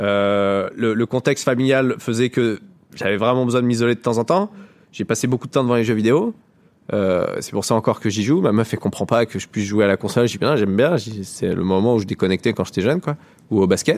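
A man's normal speaking voice at medium pitch, with ordinary pitch variation and a fairly quick pace, on a very clean recording with a silent background. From rural Lower Normandy, France. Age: 30s. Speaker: comedian. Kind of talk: casual interview.

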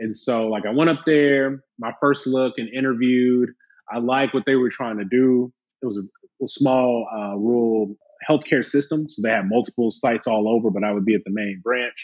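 A man with a plain, everyday voice and an American accent speaks at a moderate pace, medium in pitch with ordinary pitch variation. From Alabama, US South. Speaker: plastic surgeon. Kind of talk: casual interview chat.

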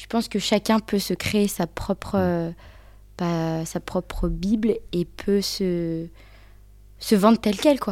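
A woman speaks at a very slow pace, her pitch medium and her intonation fairly even, with long, frequent pauses and big swings in loudness. The tone is dark and mellow, and the recording is very clean with a silent background. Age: 20s. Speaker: UX design apprentice. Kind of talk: casual interview. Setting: in person. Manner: halting.

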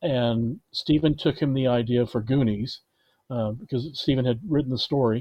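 A man with an ordinary speaking voice talks at a medium pitch. His pace is moderate, with ordinary pitch variation. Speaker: film producer. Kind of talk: casual interview. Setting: remote call.

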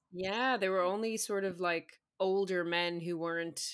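A woman with a New York accent speaks in a fairly low pitch and fairly even intonation, on a very clean recording with a silent background. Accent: New York American. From New York City, Staten Island. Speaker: guest, comedian. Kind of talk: casual chat. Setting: London-based.

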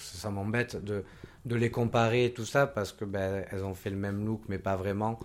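With an ordinary speaking voice, a man speaks at a fairly slow pace, his pitch fairly low and his pitch variation ordinary. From Côte d'Ivoire. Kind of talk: casual chat.

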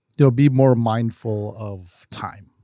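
Speaking at a fairly slow pace with a Chicago accent, a man is heard in a very clean recording with a silent background. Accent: Chicago American English. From US Midwest, Chicago. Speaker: nonprofit founder and nightlife promoter. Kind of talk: interview.

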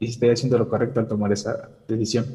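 A somewhat breathy man's voice of medium pitch and dark, mellow tone, fairly quick and fairly even in intonation, with audible room echo. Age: 20s. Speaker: engineering student calling in for advice. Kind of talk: personal confession seeking advice. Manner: halting.

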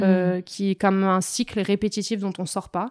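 In a very clean recording with a silent background and a dry, close sound free of echo, a woman speaks at medium pitch. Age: 20s. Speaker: coach. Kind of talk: interview.

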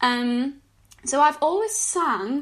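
A woman with a high voice talks very slowly, her intonation lively. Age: 20s. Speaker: singer-songwriter and student. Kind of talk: interview.

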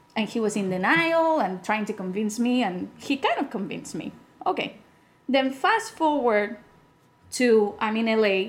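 The speaker is a woman with a fairly high pitch. She talks in a Spanish accent. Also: lively intonation, moderate pace. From Spain. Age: 30s. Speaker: podcast guest. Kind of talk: casual chat.

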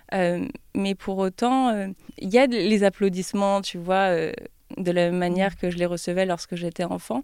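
In an unremarkable speaking voice, the speaker goes at a fairly slow pace with fairly even intonation over a very clean, silent background. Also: woman, medium pitch for a woman. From France, Troyes. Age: 20s. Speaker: YouTuber and business student. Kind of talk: interview.

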